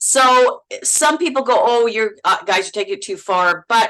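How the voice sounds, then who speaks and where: A woman with a Manitoba accent, fairly high pitch, bright, sharp tone and lively intonation. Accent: Manitoba accent, sounds Minnesotan. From Manitoba, Canada. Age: 60s. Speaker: actress. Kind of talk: casual chat. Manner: halting, repeats words.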